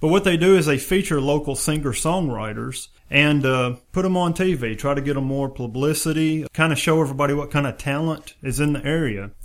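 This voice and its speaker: Talking at a fairly quick pace with hardly any pauses, a man speaks in a Southern US accent. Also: fairly high pitch for a man, ordinary pitch variation. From West Tennessee. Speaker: podcast host. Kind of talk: casual interview. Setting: studio.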